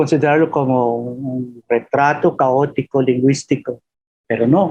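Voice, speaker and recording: This man talks at a very slow pace with a Filipino accent. His tone is dark and mellow. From Philippines. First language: Filipino (speaking Spanish). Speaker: professor. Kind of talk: webinar Q&A talk. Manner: halting with fillers.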